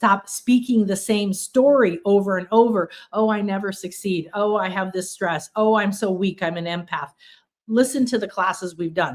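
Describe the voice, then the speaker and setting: At a moderate pace, a woman speaks in an ordinary speaking voice, medium in pitch with ordinary pitch variation. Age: 60s. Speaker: spiritual teacher. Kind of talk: livestream workshop talk. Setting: livestream.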